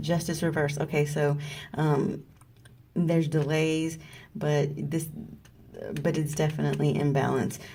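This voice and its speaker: A woman's very deep, low voice at a fairly slow pace, monotone and flat, with long, frequent pauses, very even loudness and audible room echo. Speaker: tarot card reader. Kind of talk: tarot reading video. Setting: at work on lunch break.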